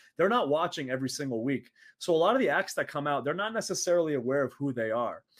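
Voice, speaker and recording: A very fast pace with lively intonation in an American accent. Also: man. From Saudi Arabia. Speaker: professional wrestler. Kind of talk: casual interview.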